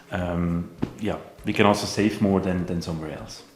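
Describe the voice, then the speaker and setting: Over noticeable background noise, a man with a very deep, low voice speaks at a moderate pace with fairly even intonation. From Switzerland. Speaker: vlogger. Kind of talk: casual chat. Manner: halting, filler words.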